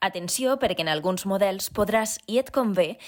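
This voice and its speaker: On a very clean recording with a silent background, the speaker talks fairly slowly in a Valencian accent with ordinary pitch variation. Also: woman. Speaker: voice-over narrator. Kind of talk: tutorial narration.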